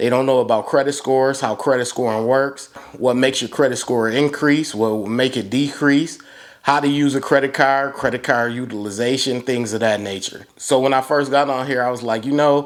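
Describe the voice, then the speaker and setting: A man at medium pitch talks at a fairly quick pace with fairly even intonation in a very clean recording against a silent background. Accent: American. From Buffalo, New York (east side). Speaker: YouTuber giving credit card advice. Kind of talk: casual vlog monologue. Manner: conversational, direct.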